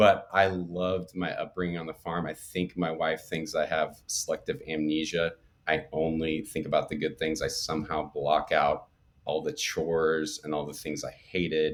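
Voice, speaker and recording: Noticeable background noise sits behind a man speaking at a moderate speed. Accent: American. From north central Oklahoma. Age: 40s. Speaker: barn enthusiast and suburban father. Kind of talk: casual podcast interview. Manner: animated.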